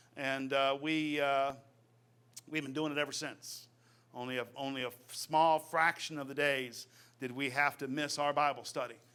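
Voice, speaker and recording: Loud and bright, a man with an American accent speaks in a sharp, fairly high voice with monotone, flat intonation. The recording is very clean, with a silent background. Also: moderate pace. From Virginia. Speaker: preacher. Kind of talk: sermon. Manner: halting, with many fillers.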